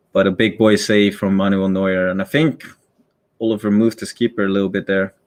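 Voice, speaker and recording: In a Dutch accent, a man talks at a fairly low pitch with fairly even intonation. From Netherlands. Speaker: esports caster. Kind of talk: live commentary. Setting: live stream. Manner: casual, hesitant with fillers.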